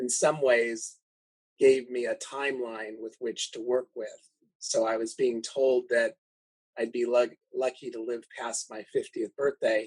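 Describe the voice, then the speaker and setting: A man speaks at a fairly slow pace. His loudness swings widely. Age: 60s. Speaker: organ transplant recipient and donation advocate. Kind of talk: podcast interview.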